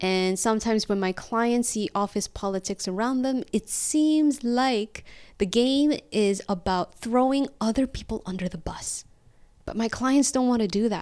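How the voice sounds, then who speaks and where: A woman with an ordinary speaking voice talks at a fairly slow pace and a fairly high pitch, with ordinary pitch variation, on a very clean recording with a silent background. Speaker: executive coach. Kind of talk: podcast introduction to camera. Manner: conversational, friendly.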